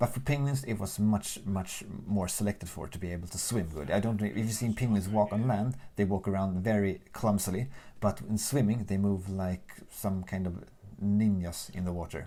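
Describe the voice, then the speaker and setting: A man speaks in a Swedish accent with a dark, mellow tone. His pace is moderate and his pitch variation ordinary. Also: fairly low pitch for a man. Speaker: gaming YouTuber. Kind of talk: casual let's play commentary. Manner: casual, unscripted.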